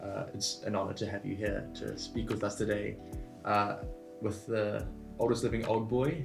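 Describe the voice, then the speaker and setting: Music in the background behind a man's fairly low voice, fairly even in intonation, at a moderate pace. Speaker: interviewer. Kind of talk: interview questions.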